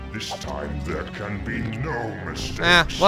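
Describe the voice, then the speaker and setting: Over loud background music, a man puts on a character voice, fairly low in pitch and at a fairly slow pace. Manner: menacing, dramatic.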